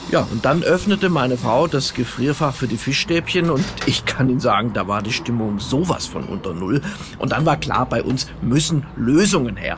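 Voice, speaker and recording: This man speaks at a moderate pace with lively intonation over noticeable background noise. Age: 50s. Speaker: radio comedian. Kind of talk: comedy monologue. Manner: direct address to listeners.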